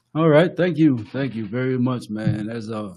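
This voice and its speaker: A man's dark, mellow voice in a Samoan accent, medium in pitch with ordinary variation and a moderate pace, in a very clean recording with a silent background. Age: 60s. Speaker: podcast co-host and author. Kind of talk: casual conversation. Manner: halting.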